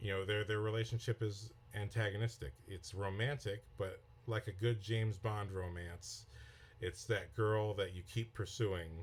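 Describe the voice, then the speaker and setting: Speaking at a moderate pace, a man uses a fairly low, somewhat breathy voice with fairly even intonation. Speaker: filmmaker and screenwriting teacher. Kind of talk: podcast lesson. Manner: slightly slurred speech; conversational, with repetitions.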